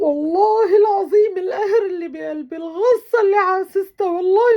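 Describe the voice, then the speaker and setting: A woman's extremely high-pitched voice at a moderate pace, with ordinary pitch variation. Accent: Syrian. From Syria. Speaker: vlogger. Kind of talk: emotional video monologue. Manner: emotional; halting.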